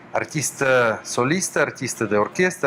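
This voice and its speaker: Over noticeable background noise, a man with a Russian accent talks at a moderate pace with lively intonation. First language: Russian (speaking Spanish). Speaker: violinist and orchestra director. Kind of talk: interview. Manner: halting.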